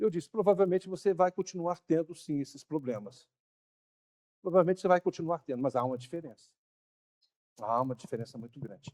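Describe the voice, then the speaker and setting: Speaking at a fairly quick pace with long, frequent pauses, a man with a fairly high pitch and lively intonation is heard in a dry, close sound with no echo. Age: 60s. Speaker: pastor. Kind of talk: sermon. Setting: church.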